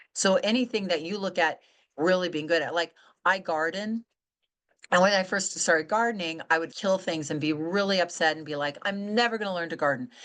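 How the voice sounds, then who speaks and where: Against a quiet background, a woman with an ordinary speaking voice talks at a fairly quick pace in a fairly low pitch with ordinary pitch variation. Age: 60s. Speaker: author and weight-loss coach. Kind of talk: interview conversation.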